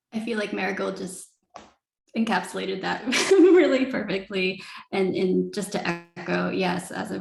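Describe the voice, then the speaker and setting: A woman's moderately paced speech with audible room echo. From Canada. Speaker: artist. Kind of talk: panel discussion.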